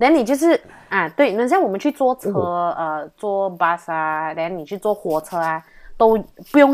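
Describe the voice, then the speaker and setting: On a very clean recording with a silent background, a woman with an unremarkable speaking voice talks at a medium pitch and a moderate pace, her intonation lively. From Malaysia. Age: 20s. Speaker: university student. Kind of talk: casual interview chat.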